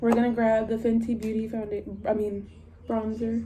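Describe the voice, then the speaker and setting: With audible room echo and noticeable background noise, a woman's fairly high-pitched voice comes through. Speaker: beauty vlogger. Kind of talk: casual makeup tutorial chat. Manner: rambling, casual.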